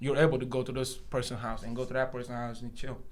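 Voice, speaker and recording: Audible room echo surrounds a man talking in an animated tone at a very fast pace. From Senegal, moved to US around age 10. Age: 20s. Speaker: barber. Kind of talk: casual podcast interview.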